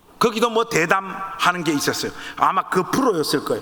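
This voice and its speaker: Against noticeable background noise, a man speaks in an animated tone with ordinary pitch variation. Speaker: pastor; pastor and author speaking at teacher training. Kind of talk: sermon-style talk to church teachers.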